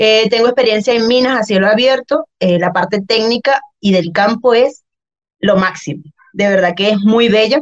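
This woman has a fairly high pitch, ordinary pitch variation and a normal speaking voice. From Venezuela, Valencia (Guacara), central region. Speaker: personal trainer. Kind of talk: casual chat.

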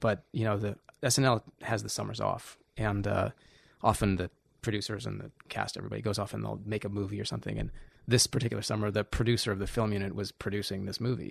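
With a quiet background, a man talks at a very fast pace. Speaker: cinematographer. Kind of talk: casual chat. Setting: home studio.

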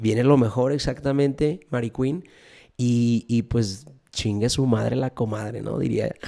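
An unremarkable speaking voice from a man at medium pitch, fairly slow, with ordinary pitch variation. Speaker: podcaster. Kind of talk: casual livestream monologue. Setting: Instagram live stream. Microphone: studio microphone.

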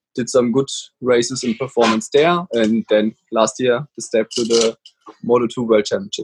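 A man speaks with a German accent at a medium pitch and a moderate pace. The pitch variation is ordinary, and the sound is dry and close with no echo. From Germany. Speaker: motorcycle racer. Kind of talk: casual interview. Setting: video call. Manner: halting.

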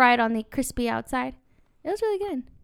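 In a very clean recording with a silent background, a woman speaks in an American accent at a high pitch. Her pace is fairly quick and her tone animated. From Irvine, California. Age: 20s. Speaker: podcast co-host. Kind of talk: casual chat.

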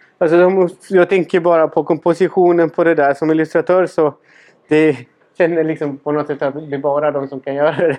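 A man's fairly high voice with a Spanish accent, fairly quick in pace and monotone, flat in intonation. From Chile. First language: Spanish (speaking Swedish). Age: 30s. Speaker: podcast host and cabinetmaker. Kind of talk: casual interview.

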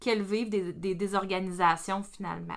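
A woman with a Quebec accent talks in a bright, sharp tone. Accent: Québécois French. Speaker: perinatal educator. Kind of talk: casual podcast discussion.

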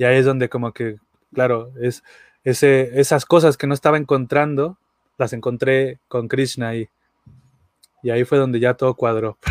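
Long, frequent pauses in a monotone, flat delivery with a dry, close sound and no echo. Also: man, medium pitch for a man, moderate pace. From Mexico, Aguascalientes. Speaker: musician and devotee. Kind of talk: casual chat.

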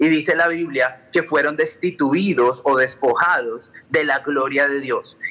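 Fairly high-pitched male voice, bright and sharp in tone, at a fairly slow pace. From Colombia. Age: 30s. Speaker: pastor and electronic music DJ. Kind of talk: radio sermon-style talk.

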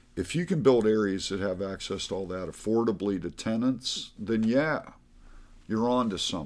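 A man with an American accent speaks in an ordinary speaking voice, fairly low in pitch and at a moderate pace. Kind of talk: casual interview.

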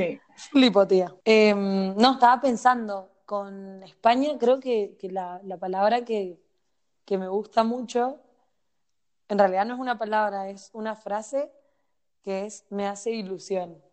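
Speaking very slowly, a woman leaves long, frequent pauses, and her loudness swings widely. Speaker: podcast co-host. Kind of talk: casual chat.

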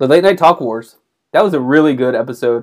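This man has a plain, everyday voice, medium in pitch with ordinary pitch variation. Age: 40s. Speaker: podcast co-host. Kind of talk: casual chat. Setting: video call.

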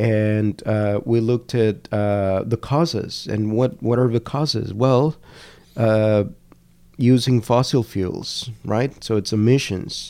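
On a very clean recording with a silent background, a man with a Spanish accent speaks very slowly in a dark, mellow tone, his medium pitch held to fairly even intonation. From Colombia, Cali. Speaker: language education researcher. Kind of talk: interview conversation. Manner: halting, many fillers.

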